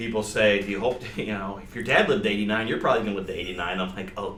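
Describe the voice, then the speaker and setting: Audible room echo and noticeable background noise accompany a man speaking with an American accent. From Michigan, Detroit suburbs. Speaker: stand-up comedian. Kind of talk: casual interview chat. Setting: radio studio.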